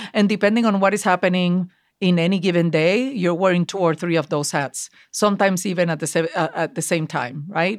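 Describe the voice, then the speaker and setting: Speaking at a fairly quick pace with a Puerto Rican accent, a woman uses a fairly low pitch and ordinary pitch variation on a very clean recording with a silent background. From Puerto Rico. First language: Spanish. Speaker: marketing executive. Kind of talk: interview. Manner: animated.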